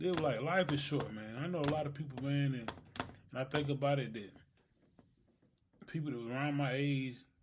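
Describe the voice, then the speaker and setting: A man's fairly high-pitched voice at a fairly quick pace, fairly even in intonation, with long, frequent pauses and audible room echo. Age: 30s. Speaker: podcast co-host. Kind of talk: casual chat.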